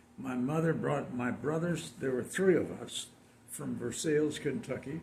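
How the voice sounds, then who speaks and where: The delivery has lively intonation, vocal fry and a moderate pace. Audible room echo surrounds it. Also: man. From San Diego, California. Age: 90s. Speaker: community elder. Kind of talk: interview.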